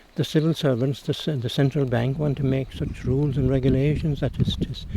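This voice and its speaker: A man speaks in a Cork accent with fairly even intonation. Noticeable background noise can be heard. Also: fairly high pitch for a man, fairly quick pace. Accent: Cork Irish. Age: 80s+. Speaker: retired teacher and local historian. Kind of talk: interview.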